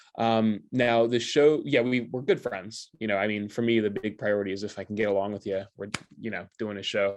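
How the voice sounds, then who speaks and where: Against a quiet background, a man with an American accent talks at a fairly quick pace, his fairly low pitch carrying fairly even intonation. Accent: American-sounding. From United States. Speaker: stand-up comedian. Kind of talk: interview. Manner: casual, filler-heavy.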